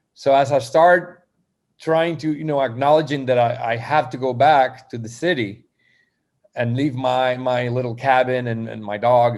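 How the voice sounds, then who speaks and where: Ordinary pitch variation in a Spanish accent. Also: man. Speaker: poet. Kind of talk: interview. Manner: halting.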